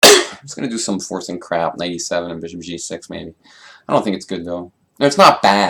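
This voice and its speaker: The tone is bright and sharp. It belongs to a man. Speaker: chess player streamer. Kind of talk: live game commentary. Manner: fast; casual, halting with repeats.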